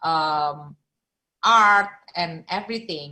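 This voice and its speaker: The tone here is bright and sharp. It belongs to a woman. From Indonesia. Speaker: filmmaker. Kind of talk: interview. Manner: halting.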